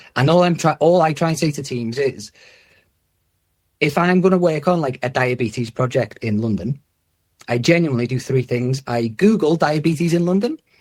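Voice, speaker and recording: Heard in a very clean recording with a silent background, a man with a fairly high pitch and lively intonation speaks at a moderate pace in a somewhat breathy voice. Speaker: head of user-centred design in health service. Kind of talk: podcast interview. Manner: casual, animated.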